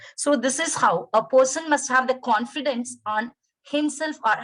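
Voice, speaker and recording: With a Tamil accent, a woman talks at a fairly high pitch with lively intonation. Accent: Indian (Tamil) English. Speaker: English lecturer. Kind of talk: webinar lecture. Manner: halting.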